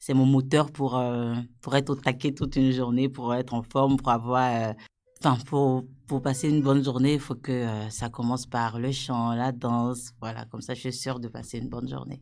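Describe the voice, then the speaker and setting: Heard on a very clean recording with a silent background, a woman talks at a moderate pace with a very deep, low pitch and monotone, flat intonation. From Ivory Coast. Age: 30s. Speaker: program participant. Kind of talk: self-introduction. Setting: studio.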